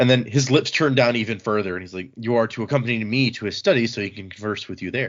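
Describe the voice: Text read aloud without embellishment.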